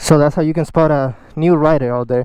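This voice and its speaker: With a non-native accent, a man speaks at a fairly high pitch with ordinary variation and a dark, mellow tone. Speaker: motorcycle rider. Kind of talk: instructional talk to camera. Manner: casual.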